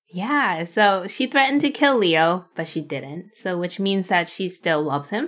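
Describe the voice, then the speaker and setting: In a very clean recording with a silent background, a woman speaks fairly slowly in a playful tone, her pitch swinging very widely. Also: medium pitch for a woman, hardly any pauses. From New York City. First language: not English (English is third language). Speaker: baker and social media creator. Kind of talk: casual interview chat. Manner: laughs often, playful.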